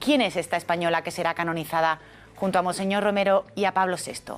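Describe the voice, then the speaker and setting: A woman's ordinary speaking voice, fairly low-pitched with fairly even intonation, at a fairly quick pace. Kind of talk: TV program presenter.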